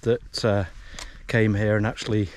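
At a fairly slow pace, a man talks in a plain, everyday voice, with a dry sound with no echo and light background noise. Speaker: hiking vlogger. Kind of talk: casual vlog chat. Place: open country. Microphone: phone near.

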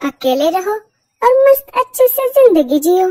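A female-sounding voice uses a cartoonish character voice at an extremely high pitch. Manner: snappy, dismissive.

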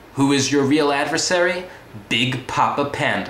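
Audible room echo comes with light background noise. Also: man. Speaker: comedic reviewer. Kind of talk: comedic monologue review. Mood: deadpan sarcastic humor. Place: home room. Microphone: webcam.

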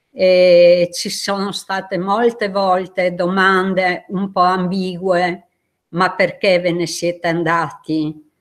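Against a quiet background, a woman speaks very slowly in a monotone with flat intonation. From Istria. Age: 70s. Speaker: exile witness; witness. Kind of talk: testimony. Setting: video call. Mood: earnest, emotional remembrance. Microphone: video call.

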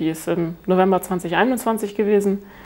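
A woman is speaking. Her pace is fairly quick. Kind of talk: interview answer. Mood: calm, content.

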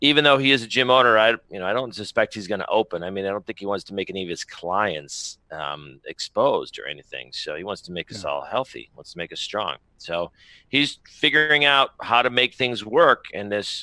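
At a fairly quick pace, a man speaks with vocal fry, lively intonation and big swings in loudness, in a dry sound with no echo over a quiet background. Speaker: remote guest. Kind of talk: interview answer. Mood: upbeat, enthusiastic. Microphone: headset.

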